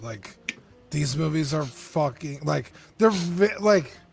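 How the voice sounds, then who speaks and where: With music in the background, a man with a fairly high pitch speaks at a moderate pace, his voice making very wide pitch swings. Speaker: collectibles stream co-host. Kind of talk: casual chat. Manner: hard to understand.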